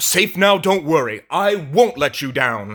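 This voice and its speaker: In a put-on character voice, a man speaks fairly high for a man at a moderate pace with very wide pitch swings, on a very clean recording with a silent background. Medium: read story.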